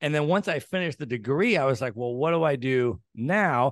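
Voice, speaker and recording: Over a quiet background, a man with an American accent speaks at a fairly quick pace in a plain, everyday voice, medium in pitch with ordinary pitch variation. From United States. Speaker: real estate entrepreneur. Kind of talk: interview.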